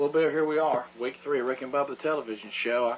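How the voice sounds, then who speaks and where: Over noticeable background noise, a man with a Southern US accent talks at a very fast pace with fairly even intonation. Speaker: radio host. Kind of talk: comedy sketch. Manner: loud.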